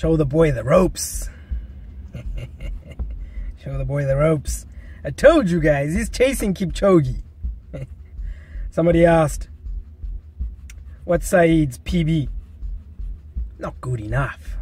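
Speaking very slowly with long, frequent pauses, a man's loudness swings widely in a dry recording with no echo. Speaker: running vlogger. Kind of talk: casual vlog chat. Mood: relaxed, playful. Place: car. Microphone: phone near.

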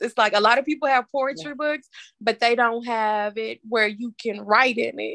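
A woman at a fairly quick pace, with big swings in loudness, ordinary pitch variation and a quiet background. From US South, Tennessee. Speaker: poet and author. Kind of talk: casual interview; spoken word poetry. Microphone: video call.

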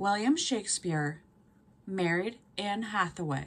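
Her pace is very slow and her pitch swings very widely. The woman's voice is somewhat breathy. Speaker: history vlogger. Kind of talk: casual vlog chat. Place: home room. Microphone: phone near.

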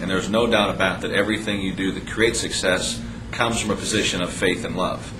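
There's noticeable background noise and audible room echo. A man with a fairly low pitch talks very fast with ordinary pitch variation. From Chicago, South Side. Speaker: business success coach. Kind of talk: sales pitch.

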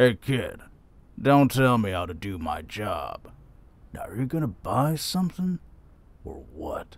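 A man at medium pitch, fairly slow, with very wide pitch swings and long, frequent pauses. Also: big swings in loudness. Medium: audio drama. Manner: gruff, smug, menacing.

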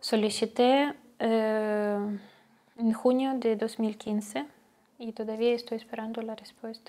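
A woman with a fairly high pitch and a dark, mellow tone speaks at a very slow pace with fairly even intonation and big swings in loudness. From Ukraine, Donetsk; Ukraine. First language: Ukrainian or Russian (speaking Spanish). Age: 20s. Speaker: refugee. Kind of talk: testimony. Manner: halting, many hesitations. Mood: calm, serious, subdued. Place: home room. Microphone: lapel.

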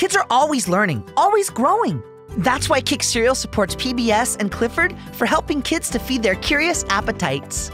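Music plays in the background as a man talks at a moderate pace, with very even loudness and hardly any pauses. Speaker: voice actor. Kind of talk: TV commercial read.

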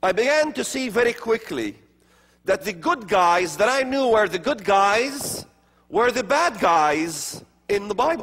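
A high-pitched man's voice with very wide pitch swings. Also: fairly slow pace. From Middle East, Palestinian areas. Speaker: speaker on religion and prophecy; speaker. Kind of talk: lecture. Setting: stage with audience. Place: church. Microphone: lapel.

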